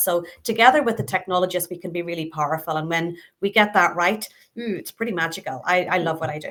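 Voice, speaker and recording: A woman with a Northern Irish accent, medium pitch, ordinary pitch variation and a fairly quick pace, in a very clean recording with a silent background. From Northern Ireland. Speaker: customer experience and innovation leader. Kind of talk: interview conversation.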